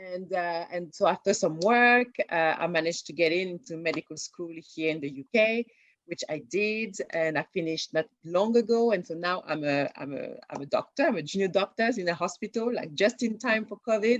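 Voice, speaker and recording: A woman's medium-pitched voice with a French accent, dry and close with no echo. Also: ordinary pitch variation, moderate pace. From France. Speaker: junior doctor and TV writer. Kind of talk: interview. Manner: halting, many fillers and repeats.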